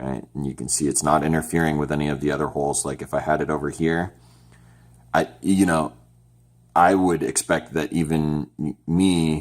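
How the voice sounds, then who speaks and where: The man's pitch is very deep and low, and his intonation stays fairly even. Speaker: DIY electronics kit maker and tutorial presenter. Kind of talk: tutorial. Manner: slow, deliberate explanation; casual with fillers and restarts.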